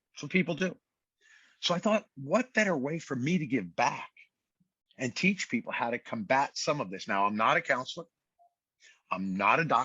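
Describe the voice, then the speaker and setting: A man with an American accent and vocal fry, at a moderate pace, with very wide pitch swings and long, frequent pauses. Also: fairly high pitch for a man. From Brooklyn, New York. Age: 60s. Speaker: fitness trainer and author. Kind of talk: podcast interview.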